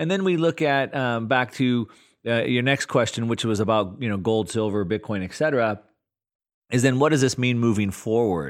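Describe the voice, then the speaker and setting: Here is a man with a plain, everyday voice at a medium pitch. His intonation is lively and his pace is moderate. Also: very clean recording, silent background. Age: 40s. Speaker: investor and market analyst. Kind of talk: casual interview.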